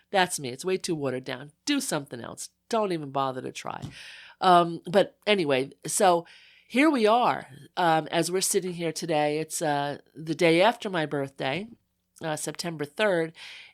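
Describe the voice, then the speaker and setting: An unremarkable speaking voice with an American accent, on a very clean recording with a silent background. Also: woman, fairly low pitch for a woman, lively intonation, moderate pace. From US Northeast, Long Island North Fork. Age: 60s. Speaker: photographer and writer. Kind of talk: casual interview chat. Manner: conversational with many fillers.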